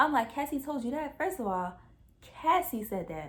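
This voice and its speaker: This is a woman's voice. Her pitch swings very widely. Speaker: YouTuber. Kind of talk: storytime. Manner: fast; animated.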